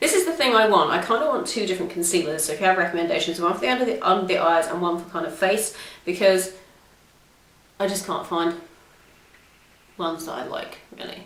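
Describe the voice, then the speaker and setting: In a British accent, the speaker talks at a very fast pace with lively intonation, big swings in loudness and long, frequent pauses, amid noticeable background noise and audible room echo. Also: woman, medium pitch for a woman. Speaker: beauty vlogger. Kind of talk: makeup tutorial chat. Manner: casual, chatty.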